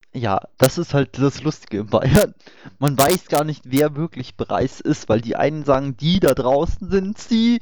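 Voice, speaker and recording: A man speaks fairly slowly in a fairly high voice with lively intonation. The sound is dry and close, with no echo. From Upper Bavaria. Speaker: online discussion host. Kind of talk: casual panel discussion. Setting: voice chat online.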